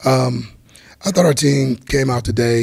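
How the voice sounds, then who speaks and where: A man talks at a moderate pace and medium pitch. His voice is somewhat breathy, with fairly even intonation. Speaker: college football head coach. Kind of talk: press conference. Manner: quiet, can't speak up; halting, with fillers and repetitions.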